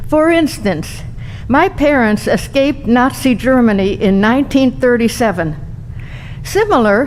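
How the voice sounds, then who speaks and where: Noticeable background noise sits behind a woman talking at a moderate pace, her pitch high and her intonation lively. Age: 80s+. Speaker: adult bat mitzvah celebrant. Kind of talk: speech.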